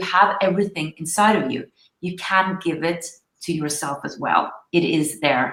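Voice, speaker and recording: A woman with a fairly low pitch talks at a moderate pace, her pitch varying in an ordinary way. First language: Norwegian. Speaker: spiritual coach, show host. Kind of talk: live online interview. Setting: livestream. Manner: halting.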